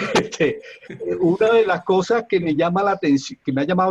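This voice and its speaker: A man at a fairly quick pace with lively intonation, in a dry, close sound without echo. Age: 70s. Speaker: audience member asking a question. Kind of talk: question at a seminar. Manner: halting, many fillers.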